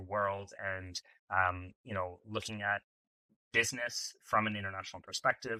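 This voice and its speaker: A man speaks with a fairly low pitch. The sound is dry and close, with no echo. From Canada, Toronto (English Canada). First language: French. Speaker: entrepreneur, startup founder. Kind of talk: podcast interview. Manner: conversational, some filler words and repeats.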